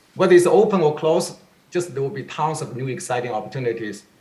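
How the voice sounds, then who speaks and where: Very fast speech from a man with lively intonation and audible room echo. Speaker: tech industry executive. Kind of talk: panel discussion.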